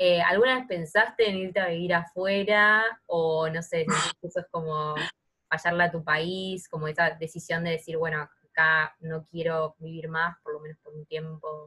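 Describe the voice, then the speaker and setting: In a Rioplatense accent, a woman with a bright, sharp tone and fairly low pitch speaks at a fairly slow pace, her intonation fairly even but her loudness swinging widely. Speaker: podcast co-host. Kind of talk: interview conversation.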